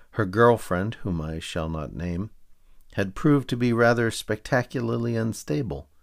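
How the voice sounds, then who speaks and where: An ordinary speaking voice with lively intonation, at a moderate pace. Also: man, fairly low pitch for a man. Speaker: podcaster reading own serialized novel aloud. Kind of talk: literary audiobook reading, dry wry first-person narration. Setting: home microphone recording.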